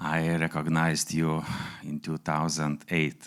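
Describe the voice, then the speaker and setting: A man with a Lithuanian accent speaks very slowly at a very deep, low pitch. The recording is very clean, with a silent background. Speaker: entrepreneur. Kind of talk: speech. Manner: halting.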